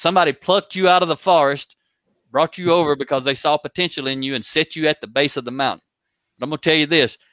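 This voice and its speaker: A man with a Southern US accent talks at a very fast pace in a fairly high pitch, his tone bright and sharp, his pitch varying in an ordinary way, over a quiet background with a dry, close sound and no echo. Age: 50s. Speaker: leadership coach. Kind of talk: interview.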